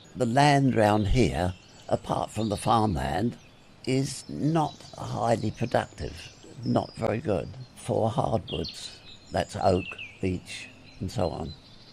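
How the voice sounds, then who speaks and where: A man with a fairly low pitch talks at a very slow pace with long, frequent pauses and very wide pitch swings. Noticeable background noise sits behind him. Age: 80s+. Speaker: retired forester. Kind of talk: oral history interview.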